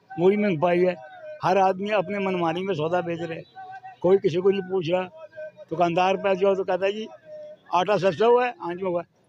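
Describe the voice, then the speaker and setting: The intonation is monotone and flat. Noticeable background noise runs underneath. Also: man, high pitch for a man. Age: 70s. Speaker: street vegetable seller. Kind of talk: street interview answer.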